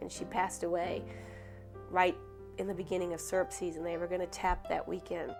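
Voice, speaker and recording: Music is playing in the background. Over it, a woman talks. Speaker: dairy farmer's daughter. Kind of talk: interview answer.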